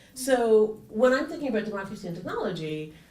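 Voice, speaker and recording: Speech races at a very fast pace with ordinary pitch variation, noticeable background noise, and audible room echo. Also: woman. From Canada. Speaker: engineering professor, panelist. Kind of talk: conference panel talk. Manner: many filler ums and repetitions.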